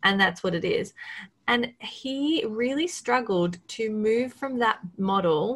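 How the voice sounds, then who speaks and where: Speaking very slowly in an Australian accent, a woman uses lively intonation at a fairly high pitch. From Australia, coast near Melbourne. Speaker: marketing agency owner. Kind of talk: casual interview. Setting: video call.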